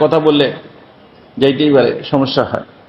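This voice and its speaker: There is audible room echo around this man's voice. His pitch sits fairly high. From rural Bangladesh. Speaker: Islamic preacher. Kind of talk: sermon. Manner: clear.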